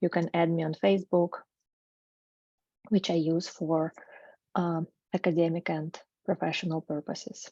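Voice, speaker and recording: Speaking at a moderate pace with a Russian accent, a woman uses a fairly low pitch, recorded dry and close with no echo against a quiet background. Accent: non-native English, Russian. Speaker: researcher, graduate student. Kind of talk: academic presentation. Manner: hesitant, with filler sounds.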